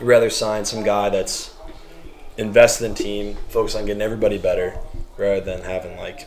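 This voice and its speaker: A man with an American accent talks at a fairly quick pace. The room echo is audible, and there is noticeable background noise. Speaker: professional soccer goalkeeper. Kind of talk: casual chat. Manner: loud.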